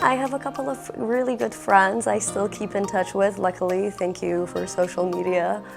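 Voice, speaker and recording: Moderate pace with hardly any pauses over music in the background. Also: woman. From Australia. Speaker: English teacher. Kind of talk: interview answer. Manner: casual, hesitant.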